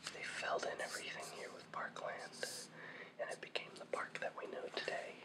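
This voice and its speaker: A man whispers at a moderate pace with noticeable background noise. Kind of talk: ASMR history explainer. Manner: whispered, soft.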